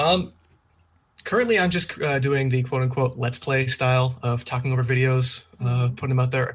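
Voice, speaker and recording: A somewhat breathy man with a slight Canadian accent talks at a fairly quick pace, his pitch medium. His intonation is fairly even and his loudness very even. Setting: video call. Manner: fast talker.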